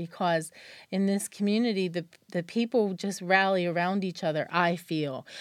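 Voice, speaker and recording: On a very clean recording with a silent background, a normal speaking voice with an American accent moves at a moderate pace with fairly even intonation. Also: woman, medium pitch for a woman. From western Pennsylvania. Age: 50s. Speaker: chamber of commerce director. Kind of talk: interview.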